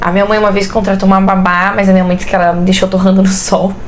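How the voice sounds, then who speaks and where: A woman talks at a medium pitch. Noticeable background noise and audible room echo surround her voice. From Brusque, Santa Catarina, southern Brazil. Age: 20s. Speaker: pedagogy student and mother. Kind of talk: interview, casual chat. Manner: talkative.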